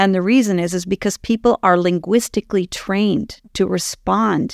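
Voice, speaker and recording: A woman with a Canadian accent at a moderate pace, ordinary pitch variation, a dry, close sound with no echo, and a very clean recording with a silent background. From Canada, Ottawa. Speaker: communication trainer and relationship coach. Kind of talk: casual interview. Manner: calm, grounded.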